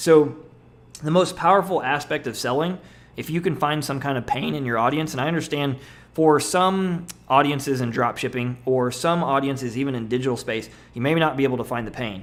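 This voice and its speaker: The man's pitch is fairly high, with ordinary pitch variation. He talks at a fairly quick pace. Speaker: internet marketer. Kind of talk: webinar presentation. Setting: webinar. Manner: fast.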